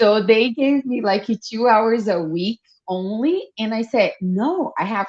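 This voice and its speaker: With a Brazilian Portuguese accent, a woman talks at a fairly high pitch with lively intonation. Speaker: fashion designer and entrepreneur. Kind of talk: podcast interview.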